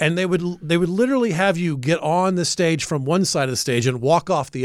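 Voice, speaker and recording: A plain, everyday voice with an American accent talks at a fairly quick pace with ordinary pitch variation. The recording is very clean, with a silent background. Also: man. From US South, Atlanta, Georgia. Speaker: comedian and radio show regular. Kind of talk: casual chat. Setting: studio.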